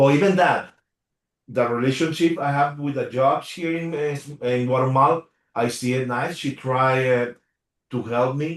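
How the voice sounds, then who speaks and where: This man, with a Spanish accent, has a fairly high pitch and fairly even intonation and talks at a moderate pace. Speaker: HOA attorney. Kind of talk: Q&A in a community meeting. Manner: halting, many fillers.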